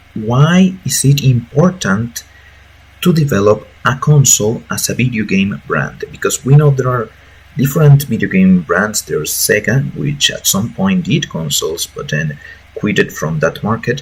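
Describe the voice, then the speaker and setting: At a moderate pace, a man talks with a Mexican accent. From Mexico. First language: Spanish. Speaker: gaming YouTuber, lawyer by profession. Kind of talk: casual commentary video. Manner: hesitant, many fillers. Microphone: bad audio quality.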